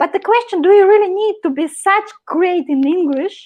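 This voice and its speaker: At a moderate pace, a woman talks with very wide swings in pitch. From Russia. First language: Russian. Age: 30s. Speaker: marketing professional. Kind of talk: live interview.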